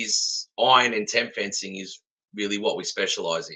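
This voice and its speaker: A man in an Australian accent talks at a moderate pace. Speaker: fence supplier. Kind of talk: casual chat.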